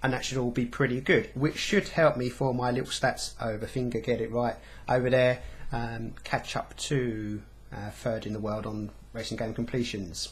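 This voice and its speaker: A man speaks with a medium pitch, fairly even intonation and a somewhat breathy quality. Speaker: gaming vlogger. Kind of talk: casual vlog monologue. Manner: fast.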